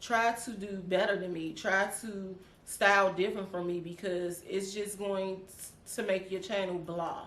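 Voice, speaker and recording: The speaker has a DC accent and a fairly slow pace. Room echo is audible. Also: woman, medium pitch for a woman. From Washington DC. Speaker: YouTuber. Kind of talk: casual chat. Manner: animated.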